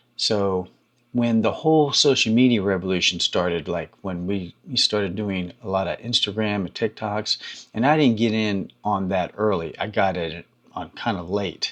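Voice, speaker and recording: A man's plain, everyday voice, fairly low in pitch with ordinary pitch variation, at a moderate pace over a quiet background. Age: 60s. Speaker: YouTube creator and hair care business owner. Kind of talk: casual talk to camera. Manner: conversational, with many fillers.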